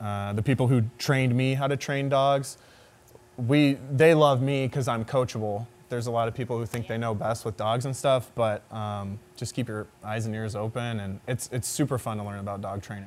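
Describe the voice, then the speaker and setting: A man's plain, everyday voice at medium pitch, with a moderate pace and fairly even intonation. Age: 20s. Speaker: pro football player. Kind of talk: casual interview. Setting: studio.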